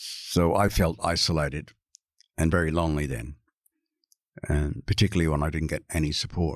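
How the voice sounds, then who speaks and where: Speaking with an Australian accent, a man uses a very deep, low pitch with vocal fry. His intonation stays fairly even, broken by long, frequent pauses. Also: moderate pace, very clean recording, silent background. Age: 60s. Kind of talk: interview.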